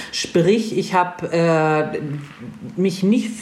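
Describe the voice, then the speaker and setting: With audible room echo and noticeable background noise, a woman talks in very wide pitch swings. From northern Germany. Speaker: motorcycle traveller. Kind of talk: casual chat. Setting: video livestream.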